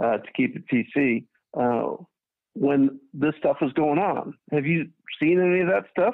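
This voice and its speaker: Speaking at a fairly slow pace in an ordinary speaking voice, a man with a fairly high pitch uses lively intonation. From Chicago, US. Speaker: caller. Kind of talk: call-in discussion. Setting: phone call.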